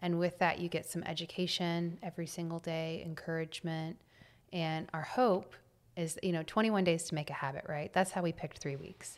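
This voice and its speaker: A woman with an American accent talks at a fairly quick pace in a normal speaking voice. Her pitch is fairly low and her intonation fairly even. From Texas, Temple. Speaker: entrepreneur. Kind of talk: interview.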